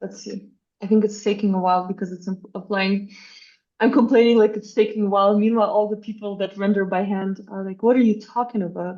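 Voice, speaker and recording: A woman with a non-native accent speaks at a very fast pace and medium pitch, her dark, mellow tone marked by big swings in loudness. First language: not English. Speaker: architecture AI workshop instructor. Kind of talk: live workshop tutorial. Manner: animated, casual.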